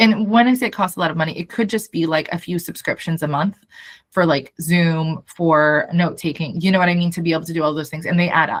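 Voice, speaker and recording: A woman's somewhat breathy voice moves fairly quickly, with ordinary pitch variation. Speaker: startup founder. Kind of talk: video call update meeting.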